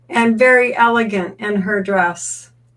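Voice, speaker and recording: A woman speaks very slowly while background noise is clearly audible. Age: 60s. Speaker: bodywork practitioner and teacher. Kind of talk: personal story told through an interpreter. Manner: speaks in short segments, pausing for translation.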